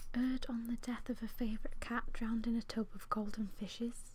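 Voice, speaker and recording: A soft-spoken woman with a relaxed tone and ordinary pitch variation. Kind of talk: casual chatty talk between poems. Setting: home, close microphone. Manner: soft-spoken, relaxed.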